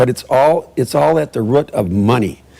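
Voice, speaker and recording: This man speaks with a dark, mellow tone and audible vocal fry. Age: 70s. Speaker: public commenter. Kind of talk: public comment at council meeting. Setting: city council meeting. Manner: halting, many restarts.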